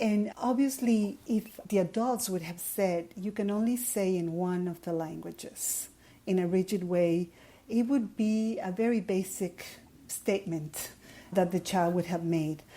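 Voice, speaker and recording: In a dark, mellow tone, a woman speaks at a fairly slow pace. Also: medium pitch for a woman, ordinary pitch variation. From Ecuador. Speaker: education professor. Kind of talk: interview.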